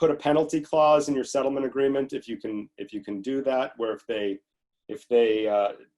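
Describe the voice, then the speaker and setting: Loudness swings a lot in this man's speech. He has a medium pitch and an ordinary speaking voice. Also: ordinary pitch variation, fairly quick pace. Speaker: family law attorney, seminar presenter. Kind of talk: legal webinar lecture.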